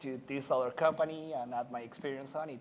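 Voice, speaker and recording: A man speaks at a moderate pace in a Spanish accent. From Chile. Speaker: technology director at digital company. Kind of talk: panel discussion.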